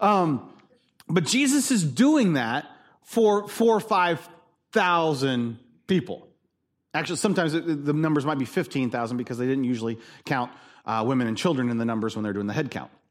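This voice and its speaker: A man speaks loudly at a fairly high pitch, swinging very widely up and down. The recording is very clean, with a silent background. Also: moderate pace. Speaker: pastor. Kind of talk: sermon. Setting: church.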